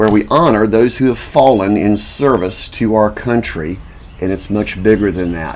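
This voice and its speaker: A man at a fairly slow pace with ordinary pitch variation, over noticeable background noise. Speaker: self-made video commentator and inventor. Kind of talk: casual monologue to camera.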